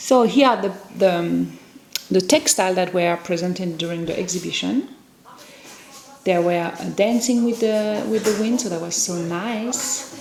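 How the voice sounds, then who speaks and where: A woman of medium pitch speaks fairly slowly with ordinary pitch variation and long, frequent pauses, against noticeable background noise. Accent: French. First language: French. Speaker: potter. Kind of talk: vlog narration.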